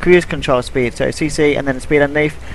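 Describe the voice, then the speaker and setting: A man talks at a very fast pace with a fairly high pitch and fairly even intonation. Noticeable background noise runs underneath. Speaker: gaming commentator. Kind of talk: gameplay commentary. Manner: hesitant, many fillers.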